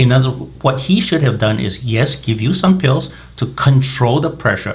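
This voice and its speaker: At a moderate pace, a man talks with lively intonation and vocal fry. Audible room echo is present. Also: medium pitch for a man. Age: 60s. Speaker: medical doctor. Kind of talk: interview.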